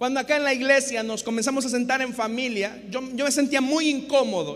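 Over noticeable background noise, a man talks at a very fast pace with extremely high pitch and fairly even intonation. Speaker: pastor. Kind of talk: sermon, expository preaching to a congregation and radio listeners. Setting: church with live congregation, also broadcast on radio. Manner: earnest, didactic, rhetorical; repeats 'hermanos y hermanas' and pleads with the audience.

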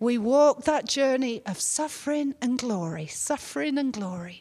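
A woman with an English accent speaks at a fairly slow pace, her high pitch making very wide swings. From England. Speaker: pastor. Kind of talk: sermon. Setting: church.

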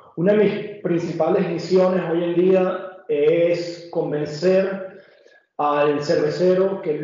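Amid noticeable background noise and audible room echo, a man speaks in a high pitch with fairly even intonation. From Venezuela. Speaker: hop specialist presenting to brewers. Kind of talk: technical webinar presentation. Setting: online video webinar.

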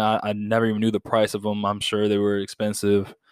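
On a very clean recording with a silent background and a dry, close sound with no echo, the speaker moves at a fairly quick pace in a monotone, flat intonation. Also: man. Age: 20s. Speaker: podcast host, college student. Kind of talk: solo monologue podcast.

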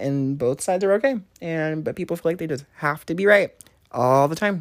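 A soft-spoken woman with a fairly low pitch talks at a fairly quick pace. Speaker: podcast co-host. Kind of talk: casual chat. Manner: calm.

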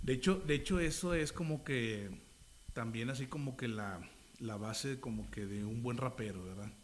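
A man talks at a moderate pace. Room echo can be heard around his voice. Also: medium pitch for a man, lively intonation. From Monterrey, northern Mexico. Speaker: rapper and pastor. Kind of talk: casual interview. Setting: on location, outdoors street. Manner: casual, slangy.

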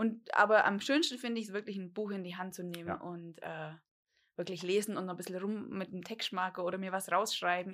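An unremarkable speaking voice from a woman, medium in pitch, moderate in pace, with fairly even intonation. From Bavarian Swabia, Germany (Dillingen an der Donau). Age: 30s. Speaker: podcast co-host, lab test engineer. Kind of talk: casual chat. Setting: home, garden table.

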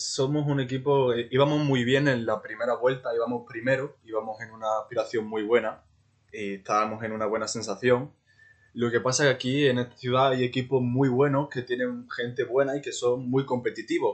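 A man delivers his words fairly quickly in a flat monotone. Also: medium pitch for a man. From Ceuta. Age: 20s. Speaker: amateur footballer. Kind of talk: interview.

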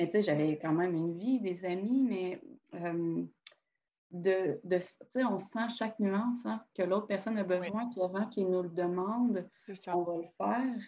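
This woman's voice sits at a medium pitch and moves up and down in an ordinary way. She talks fairly slowly. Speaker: podcast host. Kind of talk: casual chat.

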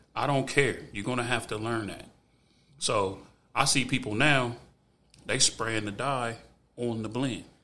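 This man with an American accent talks at a fairly slow pace and a medium pitch, with fairly even intonation and long, frequent pauses. Audible room echo surrounds his voice. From US Midwest, Ohio. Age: 40s. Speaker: barber. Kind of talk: casual chat.

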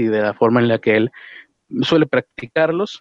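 Using a plain, everyday voice, a man speaks at a fairly quick pace in a medium pitch. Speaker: podcast host. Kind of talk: casual chat. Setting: outdoors.

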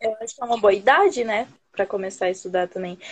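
Fairly quick speech from a woman pitched fairly high, with ordinary pitch variation. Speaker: English learner joining a live stream. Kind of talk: casual chat. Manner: hesitant, with many fillers and restarts.

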